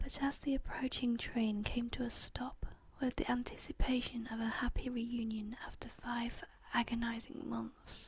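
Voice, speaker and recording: Someone whispers, soft-spoken, at a fairly slow pace. Noticeable background noise can be heard. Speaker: ASMR content creator. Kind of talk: whispered true crime story reading. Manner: soft-spoken, whispering, relaxing.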